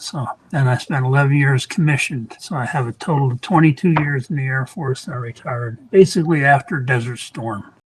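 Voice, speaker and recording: Talking at a fairly quick pace with hardly any pauses, a man uses a fairly high pitch. Noticeable background noise runs underneath. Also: ordinary pitch variation. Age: 70s. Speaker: retired Air Force veteran, client testimonial. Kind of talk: testimony. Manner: halting, with fillers and repetitions.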